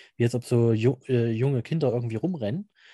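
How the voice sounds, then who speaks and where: A man speaks at a fairly quick pace and medium pitch, his dark, mellow tone somewhat breathy. The sound is dry and close with no echo, over a quiet background. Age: 30s. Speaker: amateur paranormal investigator. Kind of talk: interview.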